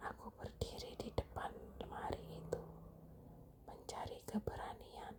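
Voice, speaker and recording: Someone whispers at a very slow pace. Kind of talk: ASMR horror story narration, whispered bedtime storytelling. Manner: whispered, hushed.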